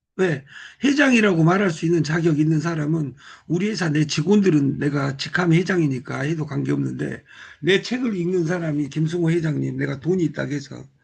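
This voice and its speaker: Fairly quick speech in an unremarkable speaking voice, its pitch varying in an ordinary way. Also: man. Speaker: business group leader. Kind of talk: motivational talk. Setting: live video call.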